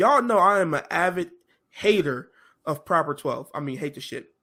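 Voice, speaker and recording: The speaker has an animated tone and a moderate pace. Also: man. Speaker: podcast co-host. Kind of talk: casual chat.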